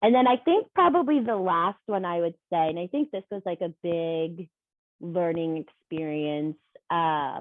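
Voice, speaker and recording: Lively intonation carries this voice along at a fairly slow pace. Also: woman, fairly low pitch for a woman. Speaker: former professional dancer. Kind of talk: casual chat. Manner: talkative.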